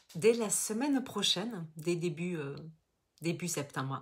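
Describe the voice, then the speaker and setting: A woman with a southern French accent, medium pitch and lively intonation. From southern France, Toulouse. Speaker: business coach. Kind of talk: live webinar masterclass. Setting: online live stream. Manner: casual, many fillers and repetitions.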